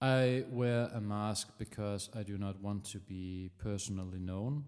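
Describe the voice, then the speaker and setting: A man with a Danish accent and a fairly low pitch talks at a fairly slow pace with fairly even intonation, on a very clean recording with a silent background. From Denmark. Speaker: musician livestreamer. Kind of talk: casual chat. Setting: livestream. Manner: halting.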